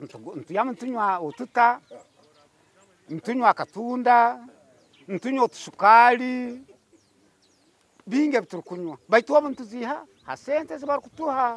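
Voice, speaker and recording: Extremely high in pitch, a man's voice has lively intonation, big swings in loudness and long, frequent pauses at a moderate pace. The sound is dry and close with no echo. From Western Uganda. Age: old. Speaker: pension recipient. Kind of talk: testimony.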